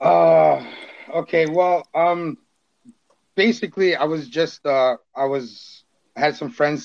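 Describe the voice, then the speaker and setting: The speech moves at a very slow pace with lively intonation. The sound is dry and close with no echo, and the background is quiet. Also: man. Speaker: TikTok creator. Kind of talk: casual chat. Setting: video call.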